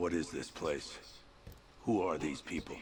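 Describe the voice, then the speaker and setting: Doing a put-on character voice, a man speaks raspy and very deep at a moderate pace, with light background noise. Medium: video game.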